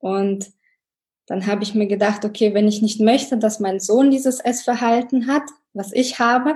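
A woman's somewhat breathy voice moves at moderate speed, its intonation fairly even. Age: 30s. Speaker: engineer and mother sharing a weight-loss story. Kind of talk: podcast interview.

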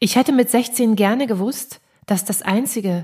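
Her tone is dark and mellow, and a woman's voice comes through somewhat breathy. She keeps a moderate pace with ordinary pitch variation. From East Germany. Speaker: podcast host and composer. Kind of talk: reading aloud.

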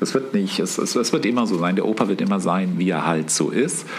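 Through noticeable background noise and audible room echo, a man with a fairly low pitch speaks with lively intonation. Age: 50s. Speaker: painter, host's father. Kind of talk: casual chat. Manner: halting.

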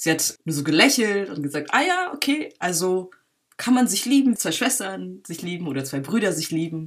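A woman at medium pitch and moderate pace, with very wide pitch swings. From Berlin, Germany. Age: 20s. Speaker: filmmaker. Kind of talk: interview. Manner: halting, many fillers.

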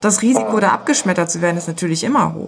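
A woman's voice with vocal fry. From Germany. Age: 40s. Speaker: music PR agency owner. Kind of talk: interview.

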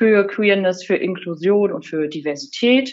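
A woman speaks at a medium pitch with ordinary pitch variation. Hers is a plain, everyday voice. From northern Germany, Rostock. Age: 30s. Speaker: online magazine editor-in-chief. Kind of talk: interview.

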